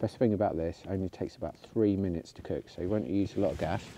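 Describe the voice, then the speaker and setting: With a dark, mellow tone, a man speaks in a very deep, low voice with fairly even intonation, in a dry sound with no echo over light background noise. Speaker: outdoor vlogger. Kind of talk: casual vlog chat. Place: open country. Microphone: phone near.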